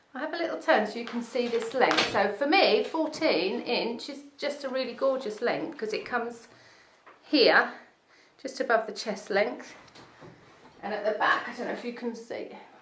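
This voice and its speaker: A woman's high-pitched voice at a moderate pace, with ordinary pitch variation, amid noticeable background noise and audible room echo. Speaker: wig salon owner reviewing wigs. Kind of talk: product review video. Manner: casual, with many fillers.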